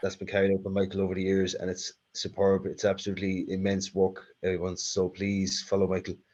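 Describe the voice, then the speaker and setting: Against a quiet background, a man speaks at a fairly low pitch in a monotone, flat intonation. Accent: Irish. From Ireland, south-east. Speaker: talk series host. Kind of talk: hosting Q&A.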